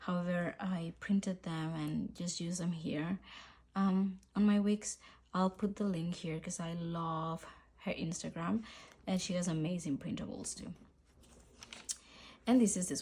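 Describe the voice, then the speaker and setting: Somewhat breathy and fairly low in pitch, a woman speaks in a dark, mellow tone at a fairly slow pace, with fairly even intonation and long, frequent pauses. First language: Spanish. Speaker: journaling YouTuber. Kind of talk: casual vlog chat. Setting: home filming, rainy day. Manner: relaxed, hesitant with fillers.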